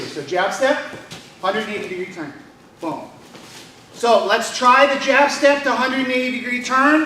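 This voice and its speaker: A man speaks at a moderate pace in a raised, projected voice with lively intonation, with audible room echo and noticeable background noise. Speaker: judo instructor. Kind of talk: martial arts class instruction. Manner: loud.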